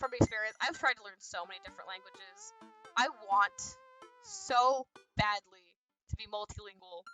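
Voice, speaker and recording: Against music in the background, a woman with an American accent speaks with big swings in loudness and long, frequent pauses. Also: fairly high pitch for a woman, ordinary pitch variation. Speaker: video game streamer. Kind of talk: casual live-stream chat. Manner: fast.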